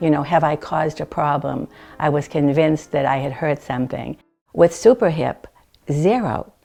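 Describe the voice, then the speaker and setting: The background is quiet as a woman speaks at a moderate pace. Her pitch is very deep and low, with ordinary pitch variation. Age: 70s. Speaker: hip replacement patient. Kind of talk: testimonial interview.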